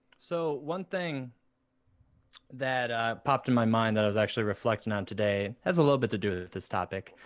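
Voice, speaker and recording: At a fairly quick pace, a man with a medium pitch talks in a plain, everyday voice with lively intonation. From Indiana, US. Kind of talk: casual chat. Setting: video call live stream.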